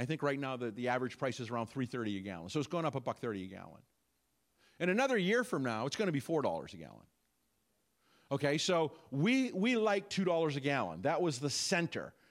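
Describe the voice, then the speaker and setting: A man with an American accent talks at a fairly quick pace. His pitch is fairly high and swings very widely. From US. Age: 60s. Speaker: pastor. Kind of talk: sermon. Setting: church.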